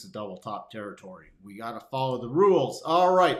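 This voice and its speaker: The man's intonation is lively. Noticeable noise can be heard in the background. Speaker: market livestream host. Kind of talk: live market commentary stream. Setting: live stream. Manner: animated, extra intonation.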